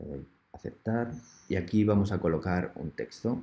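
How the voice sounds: Low-pitched male voice, dark and mellow with a slightly husky edge, lively intonation and a moderate pace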